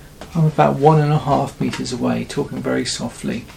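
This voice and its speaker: Noticeable background noise sits beneath speech delivered at a fairly quick pace. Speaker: YouTube gadget reviewer. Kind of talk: product review tutorial. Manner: soft-spoken. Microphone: far from the mic, one to two meters.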